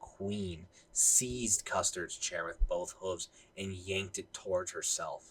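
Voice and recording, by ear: A passage is read aloud here in a natural voice.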